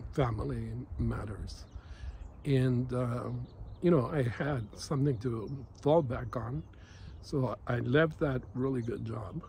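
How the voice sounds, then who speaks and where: Somewhat breathy, a man speaks very slowly at a medium pitch with ordinary pitch variation. His tone is dark and mellow. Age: 50s. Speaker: massage therapist. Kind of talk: casual talk to camera. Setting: outdoors. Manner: hesitant, many fillers.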